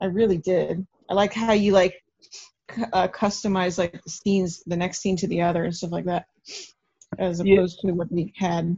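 A somewhat breathy woman speaks at a moderate pace in a monotone, flat intonation, leaving long, frequent pauses. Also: medium pitch for a woman. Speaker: horror fan guest. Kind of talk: casual chat. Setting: video call.

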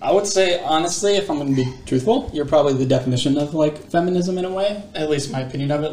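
A man mumbles at a very fast pace with ordinary pitch variation. Noticeable background noise is present. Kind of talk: casual chat. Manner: mumbling.

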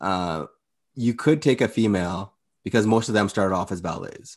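A plain, everyday voice at a moderate pace with ordinary pitch variation, against a quiet background. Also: man. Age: 30s. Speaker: podcast co-host. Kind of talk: casual chat.

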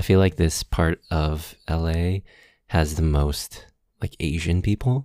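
Using ordinary pitch variation, a man with an American accent and a very deep, low pitch speaks at a very slow pace, his dark, mellow tone heard in a dry, close sound with no echo. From Los Angeles, San Gabriel Valley. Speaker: musician and video maker. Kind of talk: casual chat. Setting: video call.

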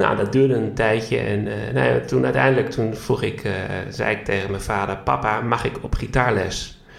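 In a fairly low pitch, a man speaks at a moderate pace. His pitch swings very widely. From Netherlands, Groningen area. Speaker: flamenco guitarist and educational content developer. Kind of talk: interview, personal story. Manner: halting, many filler sounds.

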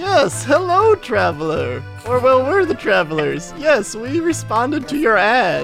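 Clear music plays in the background as a man speaks at a moderate pace with hardly any pauses. He uses a put-on character voice. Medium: actual play. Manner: casual, good-natured.

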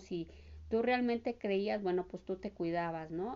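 A woman's fairly slow delivery with ordinary pitch variation. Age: 40s. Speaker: homemaker. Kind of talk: interview. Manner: halting.

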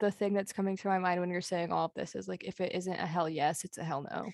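A woman with an ordinary speaking voice talks at a fairly quick pace and a medium pitch. The sound is dry and close with no echo, against a quiet background. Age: 20s. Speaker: podcast co-host. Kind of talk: casual chat.

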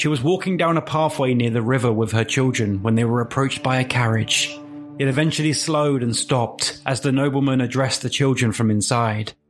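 A man speaks with a British accent at a very even loudness while music plays in the background. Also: medium pitch for a man, ordinary pitch variation, fairly quick pace. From England. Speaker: podcast host and storyteller. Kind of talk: scripted narration of urban legend, with dramatized fiction passages. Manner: hushed, suspenseful, measured horror storytelling.

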